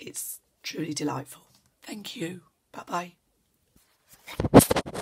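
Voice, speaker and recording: Whispering, a woman talks very slowly. Long pauses come often between her words. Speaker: journal maker. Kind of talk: casual talk to camera.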